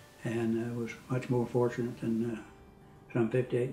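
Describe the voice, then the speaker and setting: With an American accent, a man of medium pitch talks at a moderate pace in a monotone, flat way over noticeable background noise. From Texas, small rural town. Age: 70s. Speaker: pastor and Vietnam veteran. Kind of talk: interview testimony. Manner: hesitant, many fillers.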